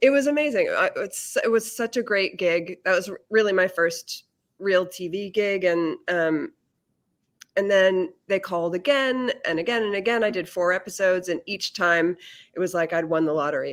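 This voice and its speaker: In a very clean recording with a silent background, a woman with a plain, everyday voice and an American accent speaks at a moderate pace with medium pitch and ordinary pitch variation. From Massachusetts. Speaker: actress and audiobook narrator. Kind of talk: casual interview.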